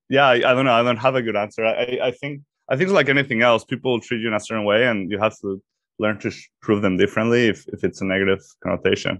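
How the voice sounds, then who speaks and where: In a Mexican accent, the speaker talks at a very fast pace with ordinary pitch variation. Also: man, medium pitch for a man. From Mexico. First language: Spanish. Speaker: startup executive. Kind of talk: interview.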